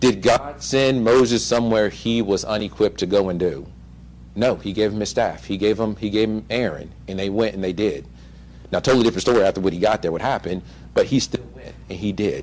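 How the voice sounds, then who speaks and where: Fairly quick and full of lively intonation, a man's fairly low voice carries vocal fry. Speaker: lay preacher. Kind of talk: sermon. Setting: church service. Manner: halting, stutters while reading.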